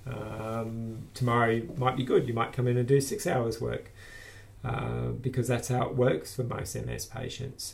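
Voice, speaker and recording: A man talks at medium pitch and a fairly slow pace, his voice somewhat breathy. His intonation is fairly even, and audible room echo surrounds him. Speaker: business owner with multiple sclerosis. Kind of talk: personal video blog monologue. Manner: halting, many fillers.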